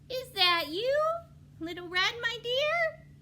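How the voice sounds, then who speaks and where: In a put-on character voice, a female-sounding speaker squeaks at an extremely high pitch and a fairly slow pace, with clear background noise behind. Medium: read story.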